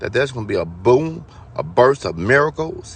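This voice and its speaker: A man's voice with vocal fry. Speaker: spiritual vlogger. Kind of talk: spiritual monologue.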